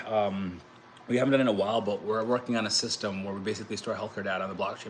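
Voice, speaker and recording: With an American accent, a man talks at a very fast pace in fairly even intonation. Noticeable background noise runs underneath. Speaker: crypto YouTuber and blockchain entrepreneur. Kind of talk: casual livestream talk. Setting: livestream. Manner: fast, rambling with restarts.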